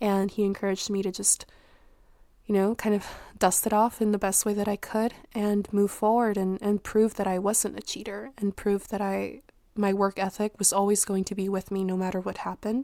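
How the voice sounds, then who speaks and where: Speaking at a moderate pace, a woman holds a medium pitch in a monotone, flat delivery, captured in a very clean recording with a silent background. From Mexico. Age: 20s. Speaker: podcast host. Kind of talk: personal monologue podcast.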